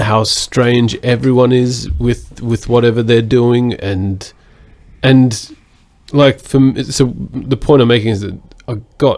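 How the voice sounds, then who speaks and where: Using fairly even intonation, a man with an Australian accent talks at a very slow pace. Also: medium pitch for a man. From Australia (Sydney). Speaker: podcast co-host. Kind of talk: casual chat.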